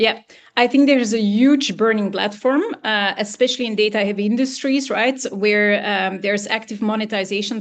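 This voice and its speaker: With hardly any pauses, the words come out at a fairly quick clip. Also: woman, quiet background. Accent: non-native. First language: not English. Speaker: business consultant. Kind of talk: webinar Q&A answer. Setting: online webinar. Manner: halting, many fillers.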